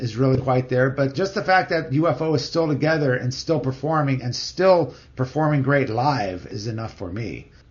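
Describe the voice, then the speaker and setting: A man's voice over noticeable background noise. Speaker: podcast host. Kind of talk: casual chat.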